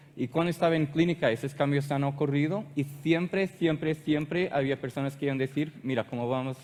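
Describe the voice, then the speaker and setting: With a Portuguese accent, a man speaks at a moderate pace. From Portugal. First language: Portuguese (speaking Spanish). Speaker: animal health technical manager. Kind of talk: conference presentation. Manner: hesitant.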